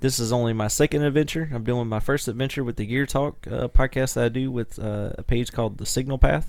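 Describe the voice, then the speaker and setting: With hardly any pauses, a man in an American accent talks at a fairly quick pace in a plain, everyday voice, his pitch medium and his intonation fairly even. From US South. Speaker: podcast co-host, musician. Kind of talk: casual chat.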